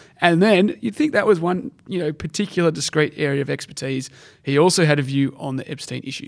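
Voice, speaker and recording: A man with an Australian accent, fairly high in pitch, ordinary pitch variation, and a fairly quick pace on a very clean recording with a silent background. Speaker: podcast co-host. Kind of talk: casual chat. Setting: studio.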